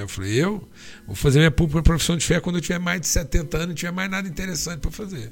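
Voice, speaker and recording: He talks very fast. The voice belongs to a man. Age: 60s. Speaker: pastor. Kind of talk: podcast interview.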